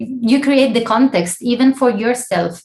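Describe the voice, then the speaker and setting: Speaking fairly slowly with an Italian accent, a woman has a somewhat breathy voice. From Italy. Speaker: scientific editor, guest lecturer. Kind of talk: lecture Q&A. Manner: halting.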